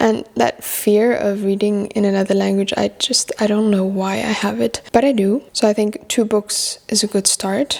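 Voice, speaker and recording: A woman talks at a moderate pace with very even loudness and hardly any pauses. Noticeable background noise sits behind her. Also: medium pitch for a woman. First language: French. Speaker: book vlogger. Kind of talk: casual chat. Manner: casual, with fillers and repetitions.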